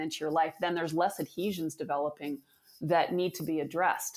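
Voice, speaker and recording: This woman has a plain, everyday voice, fairly low in pitch. She moves at a fairly quick pace with fairly even intonation. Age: 50s. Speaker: fascia therapy founder and athletic therapist. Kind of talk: interview.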